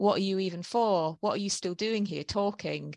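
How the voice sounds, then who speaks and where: Lively intonation marks a woman's medium-pitched voice at a moderate pace. The sound is dry and close with no echo, over a quiet background. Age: 40s. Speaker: author and columnist. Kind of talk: interview. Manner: halting.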